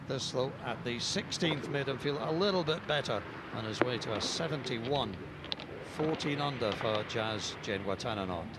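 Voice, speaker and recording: An upbeat man at medium pitch, with lively intonation and a fairly slow pace, over noticeable background noise. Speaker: golf commentator. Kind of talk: sports commentary. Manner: brisk, upbeat broadcast-style narration; clear, measured, formally polished.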